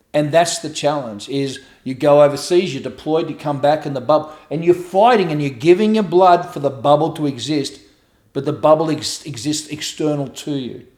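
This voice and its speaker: With an Australian accent, this speaker sounds animated, and the pitch rises and falls by an ordinary amount. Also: man, fairly high pitch for a man, moderate pace. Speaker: author and abuse survivor advocate. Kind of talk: interview conversation, personal testimony. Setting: at home.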